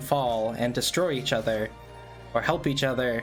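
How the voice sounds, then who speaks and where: A man speaks at a moderate pace with ordinary pitch variation. Music plays in the background. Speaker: podcast host. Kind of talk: casual podcast talk.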